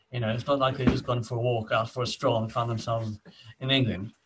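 A man with a South African accent speaks in a medium pitch. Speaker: podcast co-host. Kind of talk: casual chat. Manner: halting.

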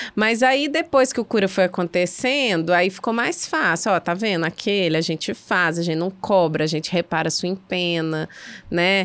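Speaking at a moderate pace, a woman uses a plain, everyday voice of medium pitch with lively intonation. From Belo Horizonte, Minas Gerais. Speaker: arts festival co-founder. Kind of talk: casual chat.

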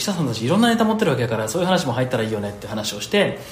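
There is noticeable background noise. The room echo is audible. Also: man. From Hyogo, Japan. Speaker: podcast host and company head. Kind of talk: casual chat.

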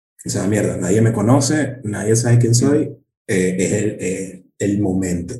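A man with a Caracas accent speaks very slowly with long, frequent pauses, his fairly low pitch sounding somewhat breathy and his tone dark and mellow. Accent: Venezuelan Spanish (Caracas). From Venezuela, Caracas. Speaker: stand-up comedian. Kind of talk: casual chat.

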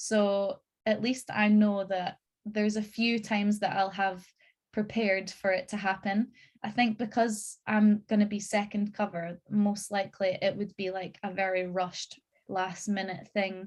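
A woman speaks at a medium pitch with a somewhat breathy voice. Her intonation is monotone and flat, and her pace is fairly slow. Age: 20s. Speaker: musical theatre performer. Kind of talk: casual chat.

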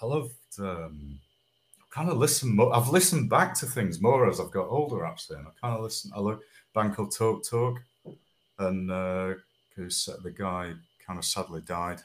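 A man with a Manchester accent speaks at a fairly low pitch with very wide pitch swings and long, frequent pauses. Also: moderate pace, very clean recording, silent background. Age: 50s. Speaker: singer-songwriter. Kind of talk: casual chat. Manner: halting.

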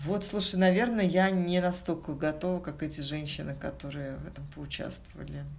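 With hardly any pauses, a woman speaks amid noticeable background noise and audible room echo, her loudness swinging widely. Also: moderate pace. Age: 40s. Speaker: corporate executive. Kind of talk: casual interview. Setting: studio.

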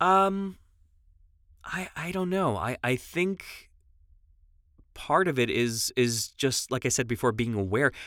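A man with an American accent speaks very slowly at a medium pitch, with long, frequent pauses. His pitch swings very widely. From New York, Long Island. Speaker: voice actor. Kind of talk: casual chat. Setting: video call.

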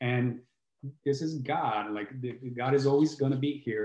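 This man speaks in an Italian accent with a dark, mellow tone. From southern Italy (Brindisi, Puglia). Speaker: healing coach and musician. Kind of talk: casual chat.

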